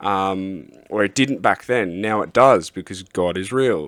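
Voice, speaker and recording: An Australian accent with ordinary pitch variation, in a very clean recording with a silent background. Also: man. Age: adult. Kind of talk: testimony. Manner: halting, many fillers.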